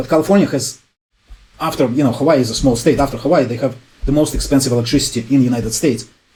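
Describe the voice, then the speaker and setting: A man with a somewhat breathy, dark, mellow tone and a medium pitch speaks at a very fast pace with ordinary pitch variation. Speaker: YouTube energy and home improvement presenter. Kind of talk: explainer video monologue. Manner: casual, many fillers.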